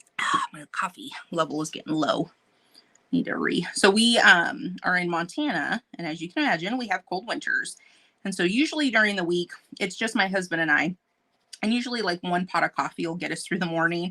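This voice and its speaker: A woman talks at a fairly quick pace with lively intonation and a bright, sharp tone, recorded dry and close with no echo. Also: medium pitch for a woman. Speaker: painting channel host. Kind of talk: casual live stream chat. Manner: fast; animated.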